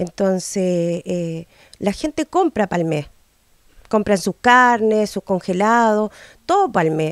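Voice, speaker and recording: The speaker talks at a very slow pace with lively intonation, in a dry sound with no echo and a quiet background. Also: woman, medium pitch for a woman. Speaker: local resident. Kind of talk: interview. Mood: frustrated complaint. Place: home room. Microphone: handheld.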